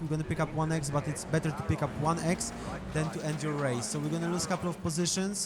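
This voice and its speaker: Over noticeable background noise, a man with a Polish accent talks at a fairly quick pace and a fairly high pitch. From Poland. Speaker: sim racing gamer. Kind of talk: gameplay voiceover commentary. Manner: hesitant, many fillers.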